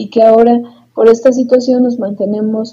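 Her voice is dark, mellow and somewhat breathy. The woman's intonation is flat and monotone. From Mexico, Tulancingo, Hidalgo. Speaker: psychologist and podcast co-host. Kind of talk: casual chat.

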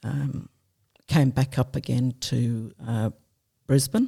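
A woman's dark, mellow, somewhat breathy voice at a very slow pace. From England. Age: 70s. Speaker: retired army nurse and veteran. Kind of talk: interview testimony.

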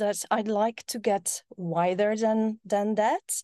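In a Polish accent, a woman speaks with a dark, mellow tone and fairly even intonation. The sound is dry and close with no echo, over a quiet background. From Poland. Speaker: tech entrepreneur. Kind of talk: casual chat.

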